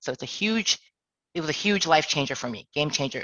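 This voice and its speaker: The woman's pitch is very deep and low, with ordinary pitch variation. She talks at a fairly quick pace. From Toronto, Canada. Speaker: HR director. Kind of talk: career talk.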